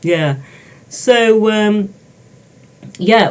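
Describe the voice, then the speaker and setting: The voice is somewhat breathy, with a British accent. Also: woman. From England, Peak District. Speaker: dyslexia tutor. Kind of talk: casual interview.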